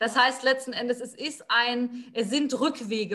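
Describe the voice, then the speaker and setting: The speech runs at a moderate pace with fairly even intonation. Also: woman. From Palatinate, Germany. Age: 20s. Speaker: psychology student and motivation coach. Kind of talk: interview.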